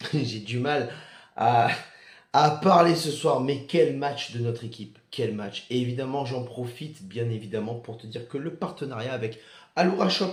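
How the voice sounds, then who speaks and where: Somewhat breathy male speech at a medium pitch and fairly slow pace, with ordinary pitch variation, big swings in loudness and audible room echo. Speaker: football fan youtuber. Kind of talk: casual vlog debrief. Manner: animated.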